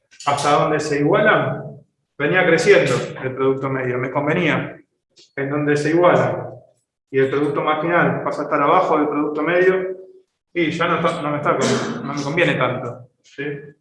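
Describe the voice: There is strong room echo as a man with a fairly high pitch and fairly bright tone speaks at a moderate pace with ordinary pitch variation.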